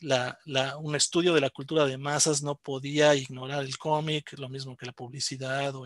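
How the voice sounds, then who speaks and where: A man's monotone, flat delivery at a moderate pace with hardly any pauses, dry with no echo, over a quiet background. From Mexico. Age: 40s. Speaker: comics scholar and professor; comics scholar, professor. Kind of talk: lecture. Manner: halting. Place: home room. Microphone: video call.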